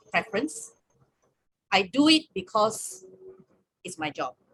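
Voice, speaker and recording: A woman's voice comes across as somewhat breathy. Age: 60s. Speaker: campus ministry staff leader. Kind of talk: webinar sharing.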